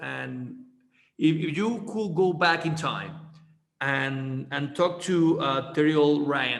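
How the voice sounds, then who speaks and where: A man speaks at a very slow pace in a room with audible echo, leaving long, frequent pauses. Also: fairly high pitch for a man, ordinary pitch variation. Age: 30s. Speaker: podcast host. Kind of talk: casual interview. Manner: halting, many repeated words.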